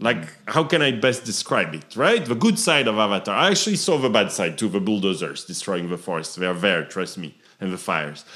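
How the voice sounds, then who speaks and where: In a French accent, a man talks at a fairly low pitch with very wide pitch swings. He leaves hardly any pauses. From southern France. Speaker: entrepreneur. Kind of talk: interview.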